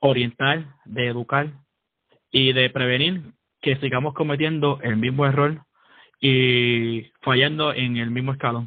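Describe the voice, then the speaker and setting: Very slow speech from a man at medium pitch with fairly even intonation. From Puerto Rico (San Juan). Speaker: podcast co-host, army sergeant. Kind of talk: casual chat.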